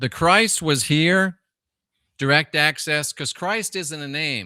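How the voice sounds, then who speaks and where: A man speaks at a fairly slow pace with ordinary pitch variation and a bright, sharp tone. The recording is very clean, with a silent background and a dry, close sound with no echo. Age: 60s. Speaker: livestream host on religion and esoterica. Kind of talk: livestream chat answering viewer comments.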